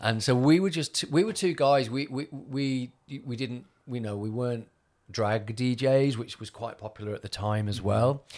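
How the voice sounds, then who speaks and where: Speaking with a Mancunian accent, a man uses a medium pitch and ordinary pitch variation. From Manchester, northern England. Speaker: DJ and agency owner. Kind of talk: casual interview chat.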